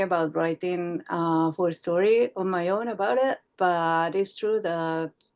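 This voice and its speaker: Against a quiet background, a woman with a non-native accent speaks at a fairly low pitch with ordinary pitch variation. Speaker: comics artist and writer. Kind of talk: casual interview. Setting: video call.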